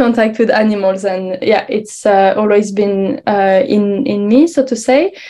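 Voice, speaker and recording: A woman with a French accent speaks fairly slowly at a fairly high pitch, her dark, mellow tone carrying ordinary pitch variation. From France, Paris. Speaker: researcher. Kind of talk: conference presentation. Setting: online symposium. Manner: hesitant, many fillers.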